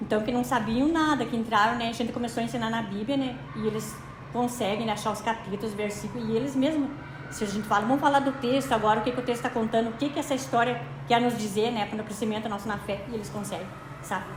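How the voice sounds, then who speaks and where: With audible room echo and noticeable background noise, a woman speaks at a very fast pace in a fairly high pitch with ordinary pitch variation. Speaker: resident interviewee, catechism teacher. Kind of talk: interview testimony.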